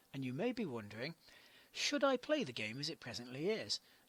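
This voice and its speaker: Heard in a dry, close sound with no echo, a man with a fairly high pitch makes very wide pitch swings. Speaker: game reviewer. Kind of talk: video game review narration.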